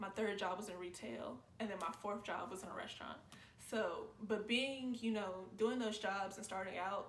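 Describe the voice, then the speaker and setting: The recording carries noticeable background noise and audible room echo. Through it, a woman talks at a moderate pace. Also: medium pitch for a woman, ordinary pitch variation. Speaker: YouTube reactor. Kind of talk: casual reaction commentary. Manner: calm, not loud; chill, low-energy.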